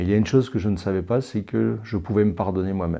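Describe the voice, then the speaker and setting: With ordinary pitch variation, this man talks in a dark, mellow tone. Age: 60s. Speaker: church member giving testimony. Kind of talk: testimony. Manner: halting, with frequent hesitations.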